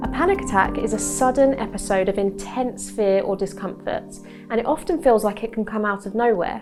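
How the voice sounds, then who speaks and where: A woman with a fairly high pitch speaks at a moderate pace while music plays in the background. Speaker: cognitive behavioural therapist. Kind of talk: health explainer to camera. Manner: calm, reassuring.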